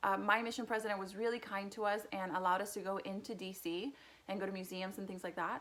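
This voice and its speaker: A woman talks at a fairly quick pace with a Spanish accent. Her intonation stays fairly even. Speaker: youtuber. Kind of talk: casual personal vlog.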